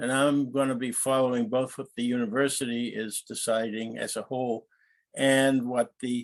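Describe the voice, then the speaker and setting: A man's monotone, flat delivery at a moderate pace. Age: 80s+. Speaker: professor. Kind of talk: lecture. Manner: halting.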